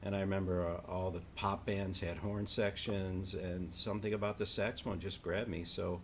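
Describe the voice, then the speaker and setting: A man talks in a fairly low, somewhat breathy voice with monotone, flat intonation. He hardly pauses, and the room echo is audible. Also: moderate pace. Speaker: saxophonist and educator. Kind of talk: interview conversation. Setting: online live stream.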